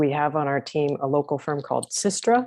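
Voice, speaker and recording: A woman speaks with an American accent at a very deep, low pitch. Her intonation is lively. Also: quiet background. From United States. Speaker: transport planning consultant. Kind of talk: webinar presentation.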